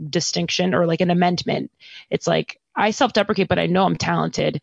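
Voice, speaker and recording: With an American accent and a medium pitch, a woman speaks with vocal fry in a dry, close sound with no echo. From New York City. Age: 20s. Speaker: actor and podcaster. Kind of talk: casual chat. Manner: animated.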